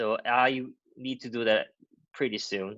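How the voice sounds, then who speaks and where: A man speaks with a Korean accent. His tone is bright and sharp. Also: quiet background. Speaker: university lecturer. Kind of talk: lecture. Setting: video call.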